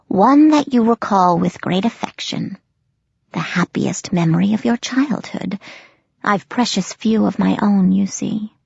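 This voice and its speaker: Using a put-on character voice, a woman speaks at a medium pitch with a raspy sound. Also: moderate pace. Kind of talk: spooky audiobook character voice. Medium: read story. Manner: sibilant, slow, menacingly sweet.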